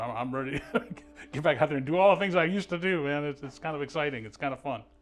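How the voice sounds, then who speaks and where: Over noticeable background noise, a man with an American accent speaks very fast at a fairly high pitch. His intonation is lively. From Ohio. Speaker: surgery patient. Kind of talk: patient testimonial. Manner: halting, repeats words.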